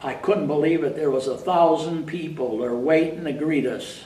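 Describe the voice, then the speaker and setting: This man's voice sits fairly high, with ordinary pitch variation. The recording has audible room echo and noticeable background noise. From upstate New York. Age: 80s+. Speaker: war veteran. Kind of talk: interview. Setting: library.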